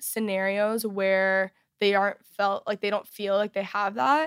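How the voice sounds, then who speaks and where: In a very clean recording with a silent background, a woman speaks in a plain, everyday voice at a medium pitch. Her pace is fairly slow and her pitch varies normally. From Texas. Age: 20s. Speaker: youtuber and podcaster. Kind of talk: interview, personal testimony. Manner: casual, many fillers.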